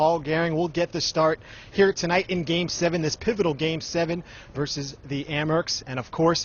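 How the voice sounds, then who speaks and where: Amid noticeable background noise, a man with a high pitch talks at a moderate pace in a monotone with flat intonation. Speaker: sports anchor and reporter. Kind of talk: TV sports anchor and reporter segment.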